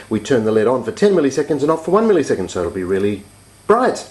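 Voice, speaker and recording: Noticeable background noise sits under a man's voice as his pitch swings very widely. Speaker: hobbyist electronics teacher. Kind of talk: tutorial. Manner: fast.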